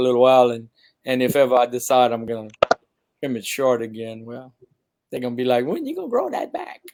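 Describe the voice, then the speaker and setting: Speaking at a very fast pace, a man with a Cajun accent has a medium pitch. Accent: authentic Cajun. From Louisiana, Cajun bayou country. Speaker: musician. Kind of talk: casual chat.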